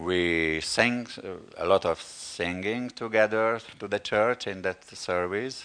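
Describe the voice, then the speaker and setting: With a Hungarian accent, a man speaks very slowly in a fairly low voice, showing ordinary pitch variation and big swings in loudness. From Hungary. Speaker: pastor. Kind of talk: sermon. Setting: church. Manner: halting.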